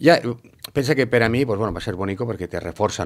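This is a man speaking. His pitch varies an ordinary amount. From Valencia city, Spain; Spain. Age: 50s. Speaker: former pilota player; interviewee. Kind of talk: interview. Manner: halting, many fillers.

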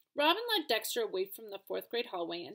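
What comes through is a natural reading voice.

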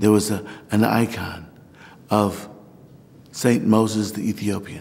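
In an American accent, a man talks at a fairly slow pace with a fairly low pitch and monotone, flat intonation. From Missouri, US. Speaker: Orthodox priest. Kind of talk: documentary interview, personal story. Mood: warm, reflective, animated. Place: church.

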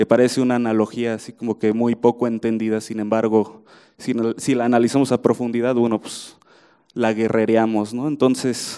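Against a quiet background, the voice has a dark, mellow tone and monotone, flat intonation at a moderate pace. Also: man. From Mexico. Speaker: writer and football chronicler; journalist panelist. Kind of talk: book presentation talk; panel talk at book presentation. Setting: room with audience. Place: hall. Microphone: handheld.

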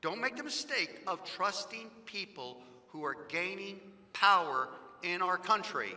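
A man's raised, projected voice, high in pitch, with very wide pitch swings. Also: fairly slow pace. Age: 50s. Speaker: pastor. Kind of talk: fiery political sermon, pounding the pulpit with repetition. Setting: church sanctuary, live-streamed. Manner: impassioned and insistent, stacking repeated phrases for emphasis; folksy and joking with the congregation. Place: church. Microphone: headset.

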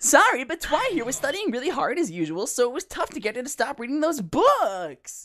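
A high, whiny put-on character voice that races along at a fairly quick pace with hardly any pauses and very wide pitch swings.

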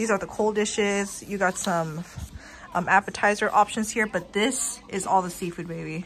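Over light background noise, a woman speaks with fairly even intonation. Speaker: food vlogger. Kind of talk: casual vlog chat. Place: cafe. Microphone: phone near.

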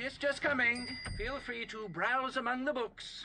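The speaker puts on a character voice at a moderate pace. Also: man, extremely high pitch for a man. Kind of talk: radio drama. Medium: audio drama.

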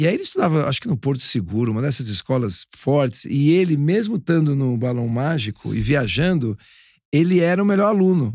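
A fairly high-pitched man's voice with very wide pitch swings at a fairly quick pace, dry with no echo against a quiet background. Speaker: podcast co-host, music producer; podcast co-host. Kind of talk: casual chat. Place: studio. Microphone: studio mic.

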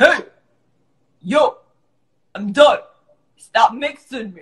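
This is a put-on character voice with a high pitch. It moves at a very slow pace. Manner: complaining, annoyed.

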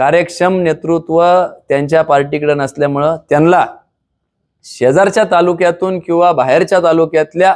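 Pitched high, a man keeps his intonation fairly even and his loudness very even. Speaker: local politician. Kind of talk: press conference statement. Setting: press conference.

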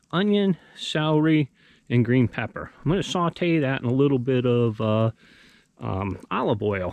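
Recorded with a dry sound and no echo, a man speaks at a moderate pace. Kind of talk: casual vlog chat. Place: forest.

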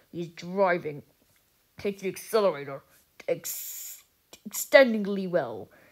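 A woman at a medium pitch performs a put-on character voice. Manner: excited, rapid play-by-play.

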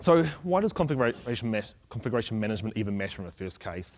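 A man with a fairly low voice speaks at a very fast pace. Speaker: conference speaker. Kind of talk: technical conference talk. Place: stage. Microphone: podium.

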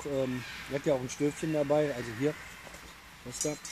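A man speaks at a fairly slow pace with a medium pitch and a slightly mellow tone. His intonation stays fairly even over faint background noise.

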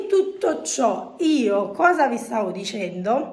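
A woman with a fairly high, somewhat breathy voice speaks with very wide pitch swings. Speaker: vlogger. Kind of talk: casual chat. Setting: shopping mall. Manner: animated.

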